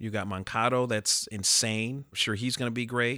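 A man with an American accent has an ordinary speaking voice at a medium pitch. He talks at a moderate pace with fairly even intonation on a very clean recording with a silent background. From Chicago. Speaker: baseball fan. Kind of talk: casual chat. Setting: studio.

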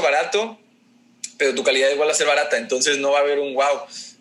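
Talking at a very fast pace over noticeable background noise, a man has a fairly high pitch and ordinary pitch variation. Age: 20s. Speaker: food business owner. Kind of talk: casual interview.

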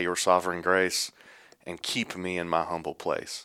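A man with a Texan accent speaks at a fairly slow pace. His pitch is very deep and low, and his tone is bright and sharp. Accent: Texan Southern US. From East Texas. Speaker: church elder. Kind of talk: casual interview.

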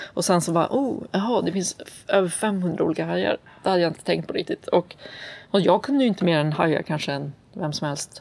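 A woman with vocal fry speaks fairly quickly in a fairly low pitch with lively intonation. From US South (Atlanta, Georgia). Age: 30s. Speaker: children's nonfiction author and illustrator. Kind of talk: interview conversation.

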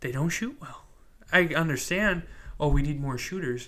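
With lively intonation and a fairly high pitch, a man speaks at a moderate pace in an unremarkable speaking voice and an American accent. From US Midwest (Wisconsin). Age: 20s. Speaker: sports podcast host. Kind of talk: casual solo monologue.

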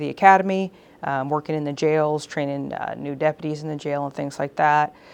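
In an American accent, a woman talks at a fairly quick pace in an ordinary speaking voice. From Texas, Houston. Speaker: police chief. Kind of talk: interview conversation. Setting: police department facility.

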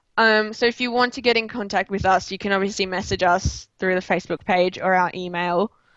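With an Australian accent, a woman talks with fairly even intonation and hardly any pauses. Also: medium pitch for a woman, fairly quick pace. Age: 20s. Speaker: chemistry student and club founder. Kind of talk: interview.

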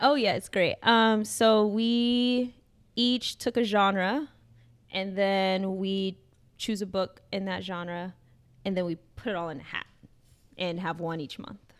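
In an American accent, the speaker talks very slowly, with long, frequent pauses and ordinary pitch variation. The recording is very clean, with a silent background. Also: woman, medium pitch for a woman. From US Midwest, Chicago. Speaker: dean of students. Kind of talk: casual interview.

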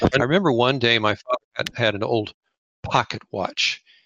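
Speaking with an American accent, this voice moves at a fairly quick clip. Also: man. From US West, California (Lindsay). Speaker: fly tyer. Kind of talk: interview. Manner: animated.

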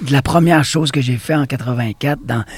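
Here a man talks at a medium pitch with fairly even intonation. His voice is somewhat breathy. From Quebec, Bas-Saint-Laurent. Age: 50s. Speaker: dance studio owner and former breakdancer. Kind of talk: interview.

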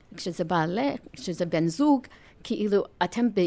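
At a fairly slow pace, a woman with an American accent speaks at a medium pitch in a very clean recording with a silent background. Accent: American accent in Hebrew. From US, New York. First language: English (speaking Hebrew). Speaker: nonprofit chair and marketing executive. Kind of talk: interview. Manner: halting.

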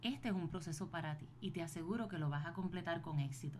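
A woman's voice carries audible room echo. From Puerto Rico. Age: 40s. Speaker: podcast host, business and wellbeing coach. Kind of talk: motivational solo podcast talk.

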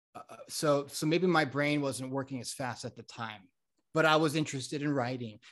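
With an American accent, a man talks at a fairly high pitch and with fairly even intonation. His loudness swings widely. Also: fairly quick pace. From South Florida and Connecticut. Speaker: mental health consultant. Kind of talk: casual interview chat.

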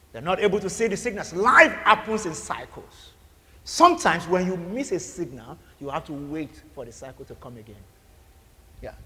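The voice is raised and projected, with lively intonation. Loudness swings widely from moment to moment. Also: man, high pitch for a man, moderate pace. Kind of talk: sermon. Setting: church. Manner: fervent, rhythmic preacher's cadence with repeated phrases and call-and-response; loud, urgent and commanding, like decreeing blessings over a crowd.

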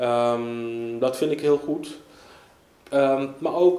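Over noticeable background noise and audible room echo, a man speaks with a fairly high pitch and fairly even intonation. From Netherlands, Amsterdam Zuidoost. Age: 30s. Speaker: local politician. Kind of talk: interview.

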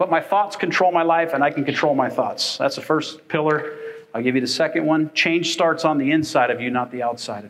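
In an ordinary speaking voice, a man with a fairly high pitch talks at a fairly quick pace with ordinary pitch variation and big swings in loudness. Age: 50s. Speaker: pastor. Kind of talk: sermon. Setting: church.

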